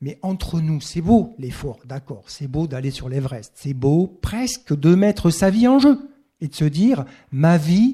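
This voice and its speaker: A man with a high pitch and a dark, mellow tone speaks at a fairly slow pace with lively intonation. The recording is very clean, with a silent background. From southwest France (Occitanie). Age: 60s. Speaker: professor of sports ethics, author. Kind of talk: talk at bookshop event. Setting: bookshop with live audience.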